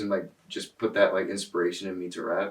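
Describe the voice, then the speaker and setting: A man with an American accent, fairly low in pitch, at a fairly quick pace. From Connecticut, US (Darien). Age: 20s. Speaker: rapper and producer. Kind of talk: casual interview. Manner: casual, halting with fillers.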